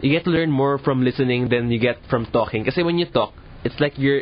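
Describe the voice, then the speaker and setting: A man speaks at a fairly quick pace with medium pitch and ordinary pitch variation. Noticeable background noise is present. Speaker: event host. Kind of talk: casual chat.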